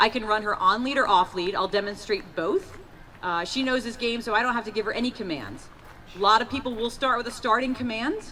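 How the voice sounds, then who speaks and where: A woman speaks at a fairly quick pace with a fairly high pitch and ordinary pitch variation. There is noticeable background noise. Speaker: police canine handler. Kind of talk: live demonstration. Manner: loud.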